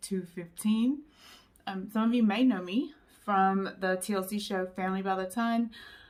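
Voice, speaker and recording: This woman has a medium-pitched voice, a normal speaking voice. Her intonation is fairly even. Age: 40s. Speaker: YouTuber sharing weight-loss story. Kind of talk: personal vlog testimony. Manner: casual with frequent fillers.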